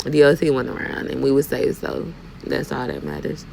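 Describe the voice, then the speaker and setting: A woman speaks with a Southern US accent at a very deep, low pitch. Noticeable background noise runs underneath. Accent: Southern US country. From US South, Fort Mitchell, Alabama. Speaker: dump truck driver, vlogger. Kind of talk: casual vlog while driving. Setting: in a truck. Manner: animated.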